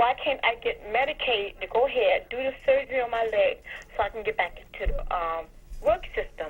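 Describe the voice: Her pace is fairly quick. The woman's pitch moves in an ordinary way. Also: fairly high pitch for a woman.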